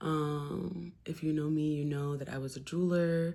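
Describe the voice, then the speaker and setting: Very deep, low female voice with an American accent, monotone and flat in intonation, on a very clean recording with a silent background. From New Jersey. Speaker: poet and musician, vlogger. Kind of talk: casual chat.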